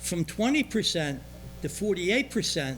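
A man is speaking. Music plays in the background. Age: 80s. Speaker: resident speaking at public comment. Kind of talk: public comment at township meeting. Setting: township board meeting room, cameras rolling.

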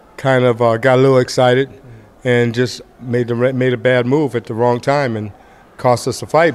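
With intonation that stays fairly even, a man speaks at moderate speed. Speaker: boxing trainer. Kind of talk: interview answer. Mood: calm, reflective. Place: hall. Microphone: earbuds.

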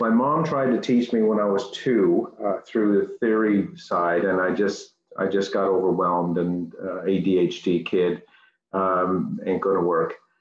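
Against audible room echo, a man with a fairly low voice speaks at a fairly slow pace with lively intonation. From Newfoundland, Canada. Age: 50s. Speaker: piano student; interviewee. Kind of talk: interview. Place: home room. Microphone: video call.

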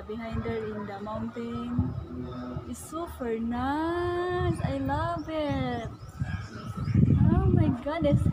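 With music in the background, a woman speaks. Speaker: vlogger. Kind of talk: casual vlog chat. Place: open country. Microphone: phone near.

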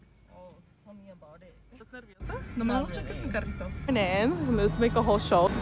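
A woman talks at a very fast pace with big swings in loudness. Music plays in the background, and the sound is dry with no echo. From Mexico. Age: 20s. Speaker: former restaurant server. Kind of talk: casual talk to camera. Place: car. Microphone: phone near.

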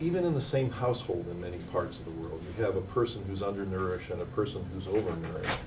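Over noticeable background noise, a man with a fairly low pitch talks at a very fast pace with hardly any pauses. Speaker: invited lecturer. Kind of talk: lecture. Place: hall. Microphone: podium.

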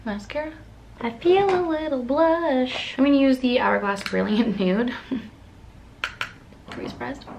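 A high-pitched woman speaks at a fairly slow pace with big swings in loudness over light background noise. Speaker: beauty vlogger. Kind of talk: casual makeup tutorial chat. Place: home room. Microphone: camera far.

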